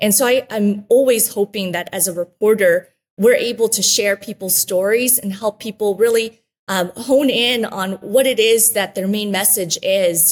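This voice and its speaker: A woman speaks at a moderate pace with a fairly high pitch and a warm tone. Her intonation stays fairly even. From Guatemala, raised in Wichita, Kansas from age eight. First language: Spanish. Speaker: former TV reporter and mayoral candidate. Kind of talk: interview. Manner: warm, grateful.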